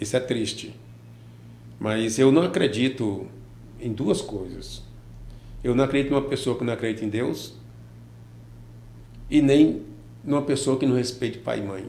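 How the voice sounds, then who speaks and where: With audible room echo, a man at medium pitch sounds somewhat breathy in a dark, mellow tone, leaving long, frequent pauses. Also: ordinary pitch variation, moderate pace. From Brazil, Piauí (Teresina area), born in Ceará. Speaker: businessman and former teacher. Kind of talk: interview.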